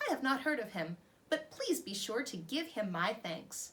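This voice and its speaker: A woman uses a put-on character voice at a high pitch. Her pitch swings very widely at a moderate pace. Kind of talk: regal. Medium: read story.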